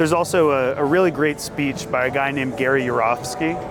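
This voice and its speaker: With music playing behind him, a man talks at a fairly quick pace and a fairly high pitch. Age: 30s. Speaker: vegan street activist. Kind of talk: casual persuasive street conversation.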